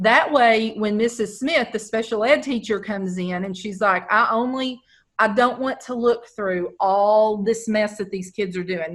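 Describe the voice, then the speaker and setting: In a quiet background, a woman with an American accent and an unremarkable speaking voice talks at a moderate pace with a fairly high pitch, ordinary pitch variation and hardly any pauses. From Texas. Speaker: educational technology trainer; teacher presenting to colleagues. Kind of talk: webinar tutorial. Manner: casual, conversational. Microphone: video call.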